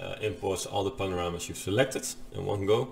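The speaker is a man. His voice sits fairly low. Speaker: software instructor. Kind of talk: tutorial.

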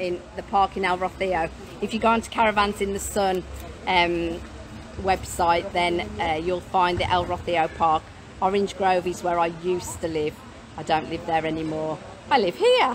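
Over light background noise, a woman with a fairly low pitch speaks at a moderate pace with ordinary pitch variation. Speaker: mobile home seller. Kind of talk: casual live stream chat. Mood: cheerful, laughing. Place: street. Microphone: phone near.

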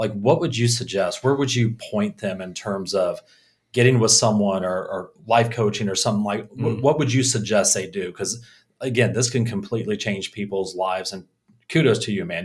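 The voice moves at a fairly quick pace with ordinary pitch variation. It sounds somewhat breathy. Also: man. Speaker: podcast host. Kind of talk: casual interview. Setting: in-person in a small echoey room. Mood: warm, appreciative. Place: studio. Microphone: studio mic.

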